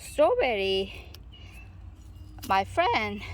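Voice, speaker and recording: A woman with a Korean accent speaks at a very slow pace amid audible room echo. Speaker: gardening vlogger. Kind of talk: casual garden tour vlog. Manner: halting.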